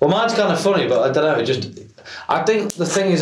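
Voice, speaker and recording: In an East Midlands accent, a man speaks amid noticeable background noise and audible room echo. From North Nottinghamshire, England. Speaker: rock band member. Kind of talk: casual podcast interview.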